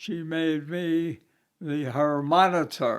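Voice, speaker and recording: A man's very slow voice, fairly high-pitched, with an American accent and fairly even intonation. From Brooklyn, New York. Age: 90s. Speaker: navy veteran. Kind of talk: interview answer.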